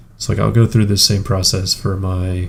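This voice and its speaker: With noticeable noise in the background, a man talks at a moderate speed in a very deep, low voice, his intonation fairly even. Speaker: gaming streamer. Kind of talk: live stream commentary. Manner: casual, many fillers.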